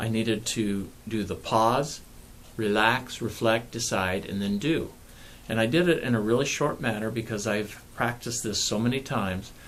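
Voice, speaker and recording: Medium-pitched man's voice with ordinary pitch variation and audible room echo. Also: moderate pace. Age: 60s. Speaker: pain management clinician and author. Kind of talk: personal video talk to camera.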